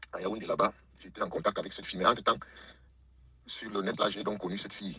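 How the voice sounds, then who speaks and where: A man talks with long, frequent pauses. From Cameroon. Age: 60s. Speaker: caller telling his life story. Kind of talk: testimony. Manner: halting, many hesitations.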